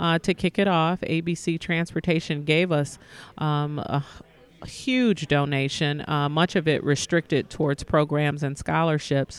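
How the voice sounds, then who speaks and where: An ordinary speaking voice from a woman with an American accent, at a moderate pace with ordinary pitch variation. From US Midwest, Detroit. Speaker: nonprofit foundation executive. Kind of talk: interview.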